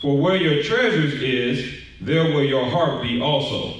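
Strong room echo surrounds a man whose fairly high-pitched voice moves at a fairly slow pace. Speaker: scripture reader in congregation. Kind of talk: reading aloud. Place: hall.

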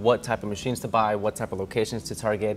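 Faint music plays in the background. Over it, a man is speaking. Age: 20s. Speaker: vending machine business owner. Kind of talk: casual interview and business tour. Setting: warehouse and route locations, on camera. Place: workshop.

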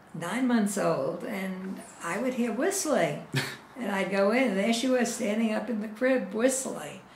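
A woman speaks at a fairly slow pace with a fairly high pitch and ordinary pitch variation. Light background noise and audible room echo surround her. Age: 80s+. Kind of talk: interview answer. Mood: warm, amused, animated. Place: home room. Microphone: camera far.

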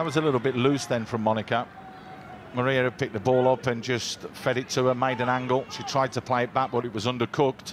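A man at a very fast pace and medium pitch, with noticeable background noise. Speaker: football co-commentator and analyst. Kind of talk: live football match commentary, analysis between plays. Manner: animated, opinionated, punchy reactions.

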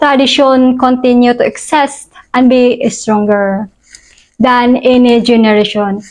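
A woman with a Filipino accent, high-pitched, at a very slow pace over a quiet background. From Philippines. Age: 30s. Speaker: vlogger. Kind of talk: scripted monologue. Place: home room.

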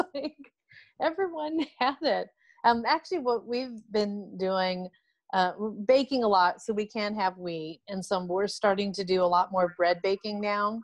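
With an American accent, a woman talks at a fairly slow pace over a quiet background, the sound dry with no echo. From California, US. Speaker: food allergy advocate, mother. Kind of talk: casual group chat. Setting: video call. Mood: relaxed, friendly. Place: home room. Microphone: video call.

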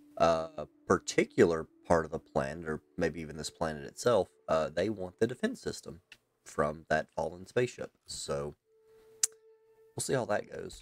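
In a Southern US accent, the speaker keeps a moderate pace over light background noise. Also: man. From US South. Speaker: gaming streamer. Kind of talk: live gameplay commentary. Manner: casual, conversational. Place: home room. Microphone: headset.

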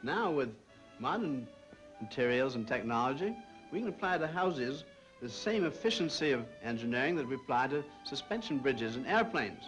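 Faint music plays in the background as a man with an American accent speaks at a moderate pace, his fairly high pitch moving in very wide swings. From USA. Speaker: architect. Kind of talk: interview answer, presentation of a model. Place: hall.

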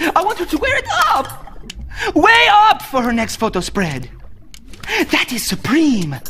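With faint music in the background, a man does a put-on character voice at an extremely high pitch, with a bright, sharp tone, very wide pitch swings and a fairly slow pace.

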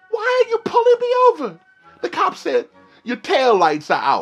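A man puts on a squeaky character voice at a moderate pace. Faint music sits in the background. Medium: comedy sketch. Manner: blunt, plainspoken.

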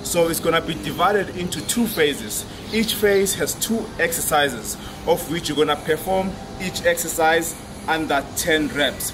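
There is noticeable noise in the background. The pace is moderate and the pitch varies in an ordinary way. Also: man. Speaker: fitness coach. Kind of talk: workout intro explanation. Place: gym.

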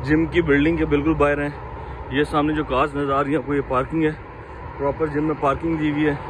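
A man talks with monotone, flat intonation. There is noticeable background noise. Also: dry sound with no echo. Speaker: vlogger. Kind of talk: casual vlog chat. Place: street. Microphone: phone near.

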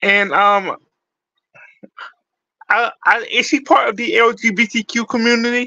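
A man's raised, projected voice with an extremely high pitch and a bright, sharp tone, fairly slow with long, frequent pauses and ordinary pitch variation, in a dry sound with no echo over a quiet background. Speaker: music reaction YouTuber. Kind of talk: casual talk to camera. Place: home room. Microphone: phone near.

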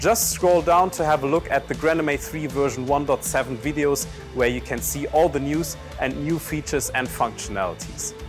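The speaker talks at a moderate pace over clear music in the background. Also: man. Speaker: presenter. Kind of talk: product announcement. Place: studio. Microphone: lapel.

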